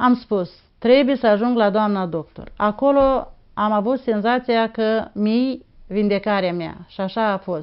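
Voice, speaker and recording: At a fairly slow pace, a woman speaks in a fairly high pitch with ordinary pitch variation. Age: 60s. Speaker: patient giving testimonial. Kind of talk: testimony. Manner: halting.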